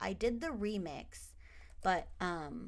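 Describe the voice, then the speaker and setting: A woman speaks with an American accent. There is audible room echo. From United States, partly raised in the Philippines. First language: Tagalog. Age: 30s. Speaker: gaming streamer. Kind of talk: casual let's-play commentary. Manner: hesitant with many fillers.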